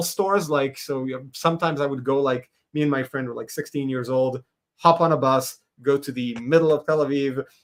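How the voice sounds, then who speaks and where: A man with an Israeli accent at a fairly quick pace. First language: Hebrew. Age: 40s. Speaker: animator and comics creator. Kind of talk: podcast interview.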